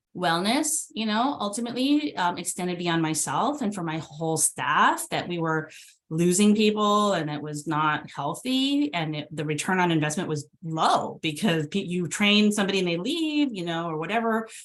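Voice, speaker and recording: A woman with a Californian accent speaks at a moderate pace with hardly any pauses. Her pitch is fairly low and her intonation lively. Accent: General American (California). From California, San Jose. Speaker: transportation agency executive director. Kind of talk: fireside chat interview.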